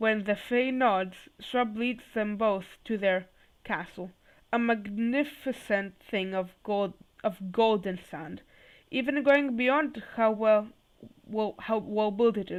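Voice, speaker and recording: Slow and shaky, a woman speaks at a very slow pace. Her pitch is fairly high. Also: ordinary pitch variation. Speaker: YouTuber reading fanfiction aloud. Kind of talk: reading aloud. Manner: halting, self-correcting.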